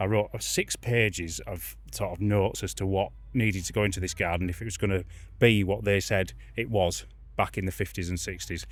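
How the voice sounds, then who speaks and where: Speaking at a fairly quick pace, a man is heard on a very clean recording with a silent background. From northern England, Yorkshire Dales. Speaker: garden designer. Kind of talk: casual interview.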